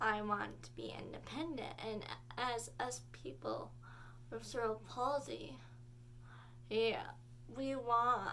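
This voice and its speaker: In a room with audible echo, a woman speaks at a very slow pace, leaving long, frequent pauses. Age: 18. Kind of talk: casual vlog talk. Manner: halting.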